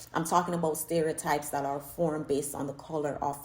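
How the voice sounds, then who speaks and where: The speaker talks at a fairly quick pace with an animated tone. The voice is somewhat breathy, in a Jamaican accent. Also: woman. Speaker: YouTuber, social commentator. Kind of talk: casual vlog commentary.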